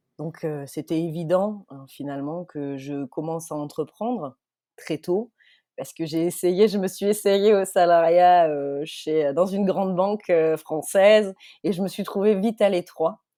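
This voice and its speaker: In a very clean recording with a silent background, a woman speaks at a fairly slow pace with a fairly low pitch, a dark, mellow tone and ordinary pitch variation. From southern France, Marseille / Alpes de Haute-Provence. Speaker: startup CEO. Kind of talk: podcast interview. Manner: animated.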